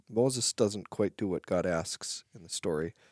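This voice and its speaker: An unremarkable speaking voice, this man's is fairly low and comes at a fairly slow pace, recorded very cleanly with a silent background and a dry, close sound with no echo. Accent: American. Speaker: pastor. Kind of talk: podcast Bible discussion.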